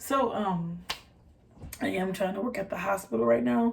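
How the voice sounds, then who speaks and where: Somewhat breathy and dark, mellow in tone, a woman talks at a moderate pace and medium pitch with an American accent. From US Midwest, Detroit. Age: 20s. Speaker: vlogger. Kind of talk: casual chat. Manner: halting, many fillers.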